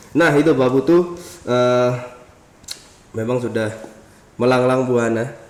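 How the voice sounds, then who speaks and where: Over noticeable background noise and audible room echo, a man speaks in an animated tone at medium pitch. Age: 20s. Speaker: podcast host. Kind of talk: casual interview.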